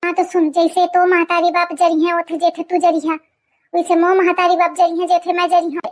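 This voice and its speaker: Doing a cartoonish character voice, a woman speaks at a very fast pace in an extremely high pitch with monotone, flat intonation, in a dry, close recording with no echo. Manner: rambling, folksy, stubborn.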